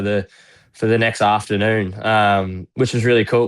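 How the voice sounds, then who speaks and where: With a strong Australian accent, a fairly low-pitched man talks at a moderate pace in a monotone, flat delivery, recorded very cleanly against a silent background. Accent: broad Australian. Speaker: retired footballer. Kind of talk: casual chat.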